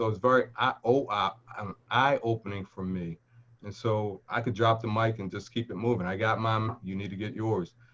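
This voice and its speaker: A man at a fairly low pitch and moderate pace, fairly even in intonation, against a quiet background. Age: 50s. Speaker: credit union executive and board chairman. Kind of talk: panel discussion testimony. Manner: halting, many fillers and restarts.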